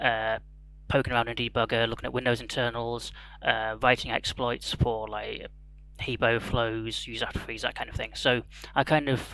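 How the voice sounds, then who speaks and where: Bright and sharp in tone, a man with an English accent speaks at a medium pitch. His moderate pace carries a monotone, flat intonation. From England. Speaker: security researcher. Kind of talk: conference talk.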